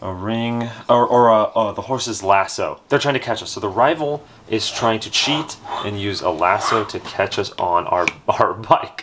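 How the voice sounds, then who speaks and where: Fairly slow speech with ordinary pitch variation over light background noise. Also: man. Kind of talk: casual game chat. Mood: playful, upbeat. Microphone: camera far.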